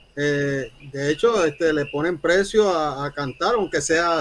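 A plain, everyday voice from a man, fairly high in pitch, with ordinary pitch variation, delivered at a fairly slow pace. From Puerto Rico. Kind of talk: interview.

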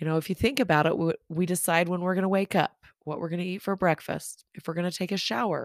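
A woman's warm, fairly low voice at a very fast pace with hardly any pauses and ordinary pitch variation, on a very clean recording with a silent background and a dry, close sound with no echo. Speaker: life coach and podcast host. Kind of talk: solo podcast talk. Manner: warm, conversational.

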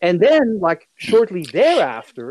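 Against a quiet background, a woman with a Dutch accent speaks at a fairly slow pace. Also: dry, close sound with no echo. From Netherlands. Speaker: history of science professor. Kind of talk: casual interview.

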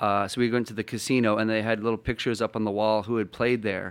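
A man with a Canadian accent talks at a very fast pace in a monotone, flat intonation. The recording is very clean, with a silent background. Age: 30s. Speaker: DJ and event promoter. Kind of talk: casual chat.

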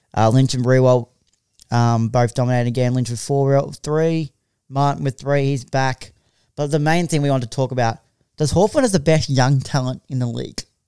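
A man with an Australian accent speaks at a fairly quick pace and medium pitch, with a dark, mellow tone. The sound is dry and close, with no echo. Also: ordinary pitch variation. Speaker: podcast host. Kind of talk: casual chat. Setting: studio.

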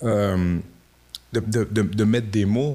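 This man speaks with a fairly low pitch. His intonation stays fairly even. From Quebec City, Quebec (Limoilou). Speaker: rapper. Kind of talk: interview. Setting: improvised studio.

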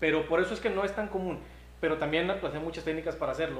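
Audible echo fills the room around a man. Noticeable background noise is present too. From Nuevo León, Mexico. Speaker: local official and barbecue expert. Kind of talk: casual chat. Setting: live stream.

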